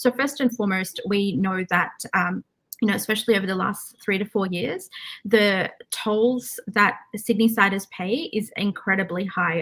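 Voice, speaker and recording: A woman speaks at a moderate pace with ordinary pitch variation. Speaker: candidate. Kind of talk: interview answer. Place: home room.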